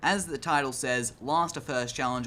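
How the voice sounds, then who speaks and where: Bright and sharp in tone, this man speaks with an Australian accent. His pace is fairly quick and his pitch varies in an ordinary way. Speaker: gaming YouTuber. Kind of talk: casual talk to camera.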